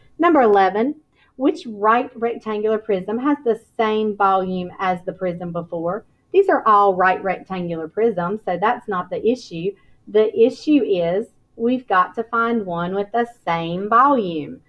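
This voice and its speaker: A woman with a plain, everyday voice, fairly high in pitch, with ordinary pitch variation and a fairly slow pace. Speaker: elementary school teacher. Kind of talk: tutorial.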